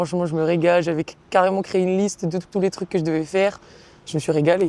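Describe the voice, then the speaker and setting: A woman talks very fast in a flat monotone. Her tone is dark and mellow, and her pitch sits fairly low. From southern France, Marseille area, raised in Montpellier from 15. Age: 20s. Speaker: professional basketball player. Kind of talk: casual interview. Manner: hesitant with many fillers.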